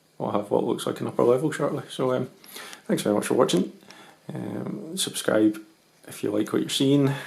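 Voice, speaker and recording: A man with a Scottish accent speaks with long, frequent pauses. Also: medium pitch for a man, lively intonation, fairly quick pace. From Scotland. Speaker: model railway hobbyist. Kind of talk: tutorial. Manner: hesitant, many ums.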